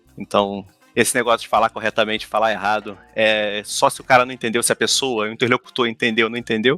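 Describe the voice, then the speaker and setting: A man with a Brazilian accent speaks at a very fast pace in a medium pitch, his intonation monotone and flat. Music plays in the background, and the sound is dry and close with no echo. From Brazil, São Gonçalo, Rio de Janeiro. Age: 30s. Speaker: museum worker, former history teacher. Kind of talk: podcast interview. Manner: halting, many repetitions.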